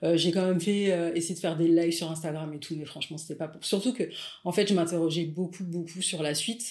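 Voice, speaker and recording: With fairly even intonation, an unremarkable speaking voice moves along at a fairly quick pace. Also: woman, fairly low pitch for a woman, big swings in loudness. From Paris suburbs, France. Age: 40s. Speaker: photographer and content creator. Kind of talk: casual interview.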